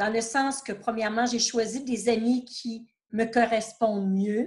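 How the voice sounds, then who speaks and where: This woman speaks with a Quebec accent. Her pitch is fairly high, with ordinary variation. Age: 60s. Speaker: retired therapist. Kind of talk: interview testimony.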